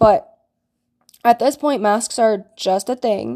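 Fairly slow and lively in intonation, a woman speaks at a fairly high pitch in a very clean recording with a silent background. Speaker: podcast host. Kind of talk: casual solo commentary. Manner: rambling, conversational.

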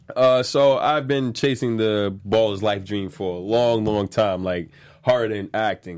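In a New York accent, a man speaks at a moderate pace with ordinary pitch variation. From New York, Staten Island. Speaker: actor. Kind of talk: casual interview chat.

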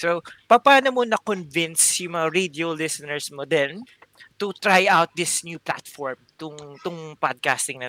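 Dry and close with no echo, a high-pitched man's voice moves at a moderate pace with lively intonation and big swings in loudness. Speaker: podcast co-host.

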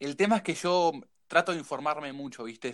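This man speaks in a Uruguayan accent with a bright, sharp tone. The recording is very clean, and the background is silent. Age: 30s. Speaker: woodworking youtuber. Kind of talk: casual chat.

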